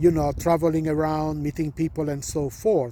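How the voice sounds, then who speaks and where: A man is speaking. His tone is dark and mellow. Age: 70s. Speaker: spiritual teacher. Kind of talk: spiritual talk to camera. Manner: halting.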